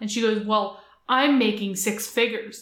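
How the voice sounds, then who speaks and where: With a Canadian accent, a woman speaks at a moderate pace in a fairly high pitch with monotone, flat intonation. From Atlantic Canada. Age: 30s. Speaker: entrepreneur. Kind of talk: casual interview chat.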